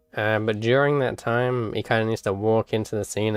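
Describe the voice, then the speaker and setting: Mumbling at a fairly quick pace, a man speaks in a flat monotone at a fairly low pitch. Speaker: animator streaming work. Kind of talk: live stream commentary. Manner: halting.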